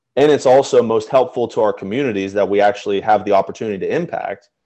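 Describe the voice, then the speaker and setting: The background is quiet as a man speaks in a Mid-Atlantic accent at a moderate pace. His pitch varies in an ordinary way. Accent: American, Mid-Atlantic. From Pennsylvania, Chambersburg. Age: 20s. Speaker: school alumnus, golfer and philanthropist. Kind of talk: interview, casual chat. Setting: video call.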